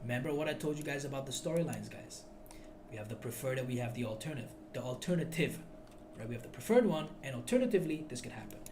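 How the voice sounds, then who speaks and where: Delivered at a very fast pace with very wide pitch swings, the speech carries audible room echo and noticeable background noise. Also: man. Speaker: forex trading teacher. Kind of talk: tutorial. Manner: loud; animated.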